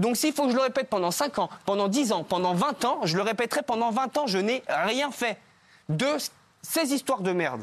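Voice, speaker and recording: A man speaks at an extremely high pitch with lively intonation. His loudness stays very even at a moderate pace. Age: 20s. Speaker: reality TV contestant. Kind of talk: talk show interview. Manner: halting.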